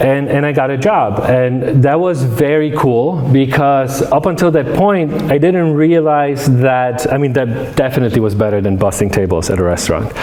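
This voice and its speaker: Over noticeable background noise and audible room echo, a man with a fairly high pitch speaks at a moderate pace with hardly any pauses, very even loudness and lively intonation. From Poland, moved to Detroit area as a teen. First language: Polish. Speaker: academic lecturer. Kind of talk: public lecture. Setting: room with live audience. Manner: many fillers and repetitions.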